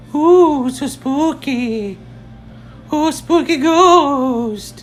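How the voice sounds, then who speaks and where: A put-on character voice with a high pitch speaks at a very slow pace over clear background noise. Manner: spooky, playful.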